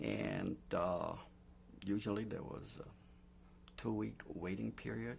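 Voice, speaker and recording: Very deep and low, a man's voice moves through very wide pitch swings with vocal fry. He speaks at a very slow pace with long, frequent pauses. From Poland. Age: 60s. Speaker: Holocaust survivor. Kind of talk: oral history interview. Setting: recorded interview. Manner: hesitant, many fillers.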